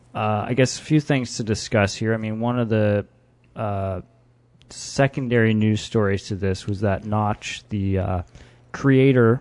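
Speaking at a fairly slow pace, a man with an ordinary speaking voice keeps a fairly low pitch and fairly even intonation. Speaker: podcast host. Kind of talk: casual chat.

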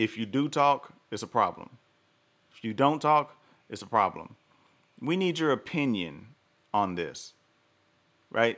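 A man speaks slowly at a medium pitch, leaving long, frequent pauses. His tone is animated with very wide pitch swings, on a very clean recording with a silent background. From US South. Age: 40s. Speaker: podcast host. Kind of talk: solo commentary livestream.

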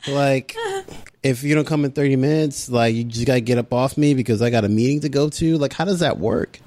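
A man talks at a very fast pace in a medium pitch, with very even loudness and ordinary pitch variation. Noticeable background noise sits behind him. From Caribbean family background. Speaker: podcast co-host. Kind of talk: casual chat.

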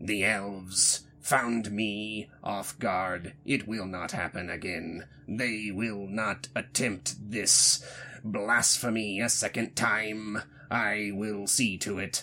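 A man speaks in a put-on character voice. His pace is very slow. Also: fairly low pitch for a man. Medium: actual play. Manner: stern, terse, solemn.

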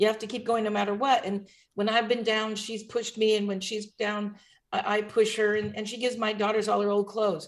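A woman speaks at a fairly quick pace with a fairly high pitch. Her intonation is monotone and flat. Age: 60s. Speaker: comedian. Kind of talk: casual chat. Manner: halting.

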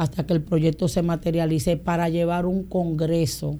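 A woman with a Dominican accent speaks in a dark, mellow tone at a fairly low pitch. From Dominican Republic (San Pedro de Macorís, Boca Chica). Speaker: pastor. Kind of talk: casual interview.

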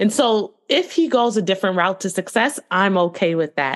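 A woman with an ordinary speaking voice at a moderate pace against a quiet background. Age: 30s. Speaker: communications consultant and professor. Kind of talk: interview.

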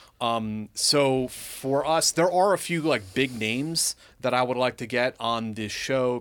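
A man's unremarkable speaking voice at medium pitch, with ordinary pitch variation, in a very clean recording with a silent background. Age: 40s. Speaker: military veteran and podcast host. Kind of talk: casual chat.

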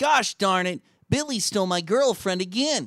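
Using a put-on character voice, a man speaks with a high pitch and lively intonation. His pace is moderate. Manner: comic, exaggerated.

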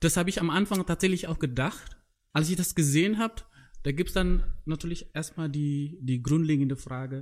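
On a very clean recording with a silent background, the speaker goes at a fairly quick pace with ordinary pitch variation. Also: man, fairly high pitch for a man. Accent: non-native. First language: not German (speaking German). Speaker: podcast host. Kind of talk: casual chat. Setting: in a tent.

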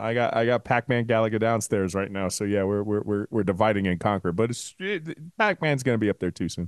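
With a plain, everyday voice, this speaker moves at a fairly quick pace with hardly any pauses and ordinary pitch variation. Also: man, fairly low pitch for a man. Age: 40s. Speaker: sports podcast co-host. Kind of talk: casual chat.

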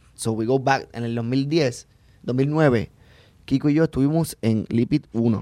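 Against a quiet background, a man with a dark, mellow tone and medium pitch talks at a fairly slow pace with ordinary pitch variation. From Puerto Rico. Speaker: stand-up comedian. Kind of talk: casual chat.

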